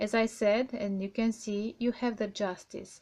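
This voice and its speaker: A woman's fairly high-pitched voice with a dark, mellow tone and a non-native accent, very slow in pace, with fairly even intonation. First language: not English. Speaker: tarot reader. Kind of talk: tarot reading. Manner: halting.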